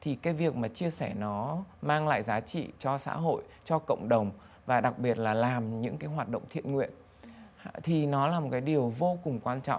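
With ordinary pitch variation, a man delivers his words at a moderate pace. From Vietnam. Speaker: banker, business executive; interview guest. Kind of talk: interview. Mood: calm, reflective. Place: studio. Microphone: lapel.

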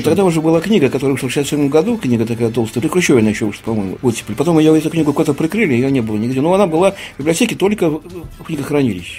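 The speech comes at a very fast pace. Faint music plays in the background. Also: man, fairly high pitch for a man. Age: 60s. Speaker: writer. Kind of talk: radio interview answer. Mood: calm, reflective. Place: studio.

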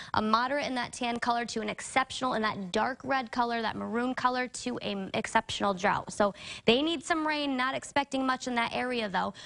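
Against a quiet background, a woman with a high pitch and an upbeat tone speaks at a fairly quick pace with ordinary pitch variation. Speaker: TV meteorologist. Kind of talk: weather report. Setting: TV studio. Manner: brisk, upbeat, conversational. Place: studio.

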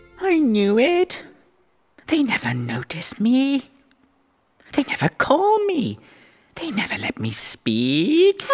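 Using a whiny, put-on character voice with a high pitch, a woman speaks at a fairly slow pace with long, frequent pauses. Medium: cartoon. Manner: whiny, self-pitying, then excited.

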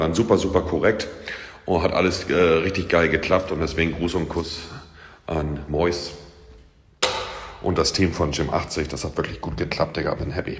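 Speaking at a moderate pace with long, frequent pauses, a man with a very deep, low voice keeps his intonation fairly even. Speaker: streamer showing his home gym. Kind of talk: casual vlog chat. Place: gym. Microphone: phone near.

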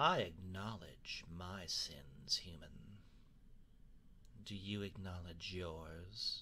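A man's put-on character voice, very deep and low, at a very slow pace with long, frequent pauses over clear background noise. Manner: sardonic, defiant.

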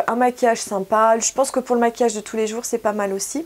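A woman speaks at a high pitch, with ordinary variation in her pitch. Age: 40s. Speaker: beauty YouTuber; beauty vlogger. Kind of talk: product haul review. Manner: casual, hesitant with frequent 'euh'. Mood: cheerful, enthusiastic.

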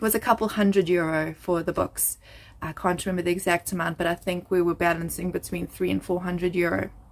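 Very fast and monotone, a woman speaks with flat intonation, a fairly low pitch, and vocal fry. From South Africa. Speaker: family vlogger. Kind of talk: casual vlog monologue. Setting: home bedroom floor. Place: home room. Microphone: phone near.

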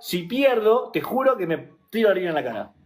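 This man has a high pitch and lively intonation. His tone is animated. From Argentina, Buenos Aires (Ramos Mejía); Argentina. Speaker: YouTuber and live streamer; YouTuber, live streamer. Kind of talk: casual livestream chat. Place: home room. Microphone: phone near.

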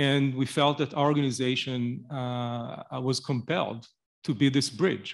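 Against a quiet background, a man speaks at a fairly slow pace. His pitch variation is ordinary. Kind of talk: speech at event. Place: hall. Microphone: podium.

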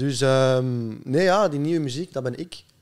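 Moderate-paced speech from a man with a Flemish accent, ordinary pitch variation and a quiet background. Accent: Flemish Dutch. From Belgium, Flanders (Leuven area); Flanders, Belgium. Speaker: musician; podcast guest. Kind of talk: casual chat. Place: studio. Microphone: studio mic.

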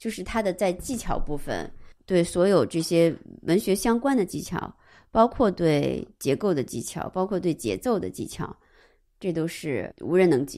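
In a very clean recording with a silent background, a woman with a fairly low pitch and a dark, mellow tone speaks at a moderate pace with lively intonation and vocal fry. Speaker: art historian. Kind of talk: casual discussion of a book.

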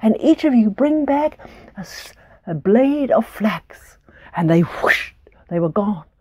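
A woman's dark, mellow voice with very wide pitch swings at a fairly slow pace, over a quiet background. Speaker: storyteller. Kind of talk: storytelling to children. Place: home room.

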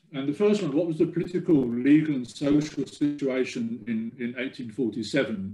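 Over light background noise, a man speaks in a dark, mellow tone with ordinary pitch variation. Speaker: genealogy researcher giving a talk; presenter. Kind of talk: presentation talk. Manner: halting, many fillers and repeats. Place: home room. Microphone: webcam.

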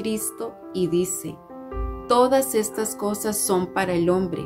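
A woman talks at a very slow pace while clear music sounds behind her. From Costa Rica. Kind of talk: religious devotional talk. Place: home room. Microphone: phone near.

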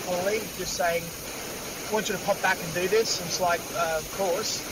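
A man with an Australian accent talks in a high pitch at a moderate pace. There is loud background noise, though the sound is dry with no echo. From Australia, Sydney (Bondi); Sydney. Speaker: actor. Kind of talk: casual chat. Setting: outdoors. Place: car. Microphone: video call.

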